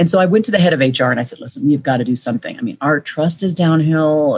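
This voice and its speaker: A woman talks at a very fast pace in a fairly low, somewhat breathy voice with very wide pitch swings. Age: 40s. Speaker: author and leadership consultant. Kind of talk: interview.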